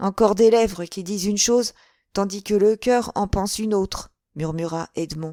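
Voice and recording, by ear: Over a quiet background, a person goes on reading aloud in a natural voice, pitch varying in an ordinary way.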